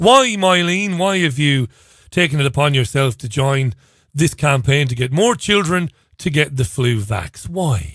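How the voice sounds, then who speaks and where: This is a plain, everyday voice. Its intonation is lively. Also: man, fairly high pitch for a man. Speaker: radio presenter. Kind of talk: opinionated monologue commentary on news. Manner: conversational, sarcastic.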